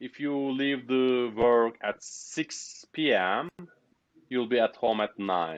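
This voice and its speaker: A man is speaking. He has a Turkish accent. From Turkey. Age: 30s. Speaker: software developer. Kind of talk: interview. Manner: halting.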